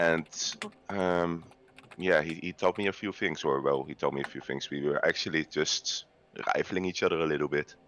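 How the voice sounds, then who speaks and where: Against noticeable background noise, a man with a Dutch accent and a very deep, low pitch speaks at a moderate pace with fairly even intonation. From Netherlands, The Hague. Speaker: video game player guest. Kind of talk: casual podcast chat. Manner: halting, many fillers.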